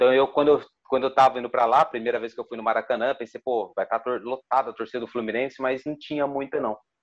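At a very fast pace with hardly any pauses, a man speaks at a medium pitch in a monotone, flat intonation. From Ribeirão Preto, São Paulo state, Brazil. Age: 30s. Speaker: sports journalist. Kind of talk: interview. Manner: halting.

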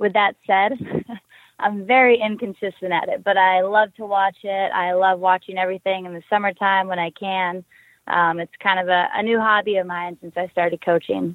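The speaker is a woman with a mid-range pitch. Her delivery is flat and monotone. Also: moderate pace. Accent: American. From US West Coast, San Diego. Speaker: hockey player and coach. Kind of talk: interview.

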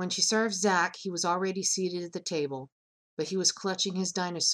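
The plain reading aloud has fairly even intonation over a quiet background.

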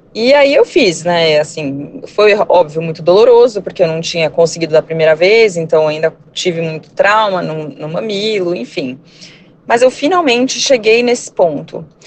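In a normal speaking voice, a woman speaks at a moderate pace and a fairly low pitch with lively intonation. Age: 30s. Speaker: surgeon, mother. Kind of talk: testimony.

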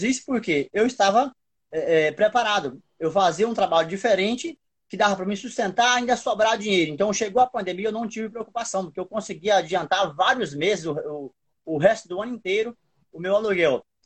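High pitch for a man, ordinary pitch variation, and a moderate pace. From Brazil, another state than Ceará. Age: 40s. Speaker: street vendor and small business owner. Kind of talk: interview on an Instagram live. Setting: Instagram live video call.

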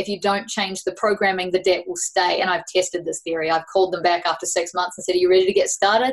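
Ordinary pitch variation runs through a woman's very fast speech. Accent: New Zealand. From New Zealand. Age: 30s. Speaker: life coach. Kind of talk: casual interview chat.

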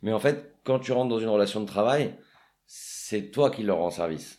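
A man's normal speaking voice, fairly low in pitch with ordinary pitch variation, in a very clean recording with a silent background. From Paris, France. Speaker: real estate agent. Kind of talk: casual interview.

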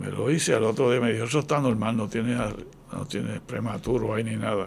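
Male voice with vocal fry at a moderate pace. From Puerto Rico (Ponce). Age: 80s+. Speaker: retired physician and author. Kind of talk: interview.

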